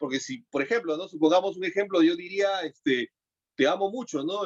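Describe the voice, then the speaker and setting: With lively intonation and a high pitch, a man talks at a moderate pace in a dry, close sound with no echo. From Peru. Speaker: broadcaster, voice-over artist and voice coach. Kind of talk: interview answer.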